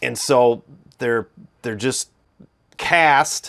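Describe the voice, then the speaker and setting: At a very slow pace, a man with a Midwestern accent speaks with ordinary pitch variation on a very clean recording with a silent background. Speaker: guitar reviewer. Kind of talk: tutorial. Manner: halting.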